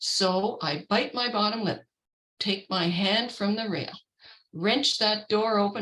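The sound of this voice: An unforced reading voice with fairly even intonation against a quiet background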